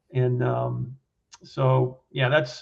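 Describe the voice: A man talks with a slightly mellow tone and vocal fry.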